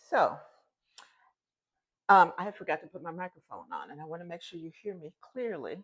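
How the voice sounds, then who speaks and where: A woman's voice with long, frequent pauses, big swings in loudness and ordinary pitch variation. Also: fairly low pitch for a woman, moderate pace. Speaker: cooking channel host. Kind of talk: cooking tutorial. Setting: home kitchen. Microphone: phone mic, forgot lapel mic.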